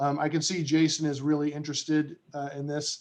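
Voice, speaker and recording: At a moderate pace, a man talks in a plain, everyday voice pitched fairly high. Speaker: presenter at a committee meeting. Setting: online video meeting with screen share.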